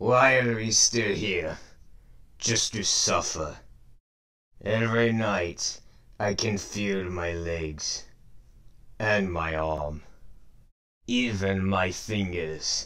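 Using a put-on character voice at a fairly low pitch, a man speaks at a very slow pace with long, frequent pauses. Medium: dub. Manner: grim, brooding.

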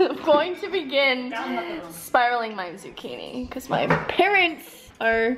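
Over faint background music, a woman with a high pitch talks at a fairly slow pace. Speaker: lifestyle vlogger. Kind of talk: casual vlog chat. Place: kitchen.

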